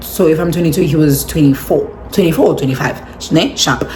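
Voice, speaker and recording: With an animated tone and a very fast pace, a woman speaks amid noticeable background noise and audible room echo. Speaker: vlogger. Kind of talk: storytime vlog. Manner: animated, code-switching.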